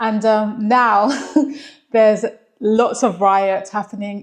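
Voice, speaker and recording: A London accent carries a monotone, flat delivery. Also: woman. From England, London. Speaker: vlogger. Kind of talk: casual vlog talk.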